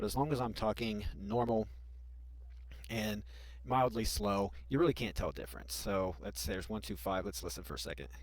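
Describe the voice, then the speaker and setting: A man speaks at a fairly quick pace in a very deep, low pitch with very wide pitch swings. Vocal fry runs through his voice. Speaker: YouTuber teaching software tips. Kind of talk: screen-recorded tutorial. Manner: pauses often; sometimes speaks fast.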